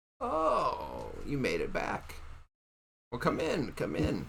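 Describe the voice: In a put-on character voice, a man croaks along at a very slow pace, with audible echo.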